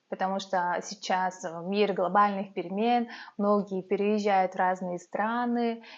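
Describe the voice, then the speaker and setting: Very slow and fairly even in intonation, a woman's speech sits at a medium pitch. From Yakutia, Russia (Yakutsk). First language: Yakut (Sakha) (speaking Russian). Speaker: vlogger, mother. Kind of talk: talking-head vlog. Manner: hesitant, many filler sounds.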